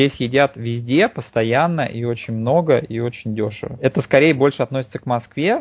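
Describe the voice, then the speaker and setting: A man with an unremarkable speaking voice talks at a medium pitch and moderate pace, with ordinary pitch variation and hardly any pauses. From Moscow, Russia. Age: 30s. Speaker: remote internet marketer. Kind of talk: interview conversation.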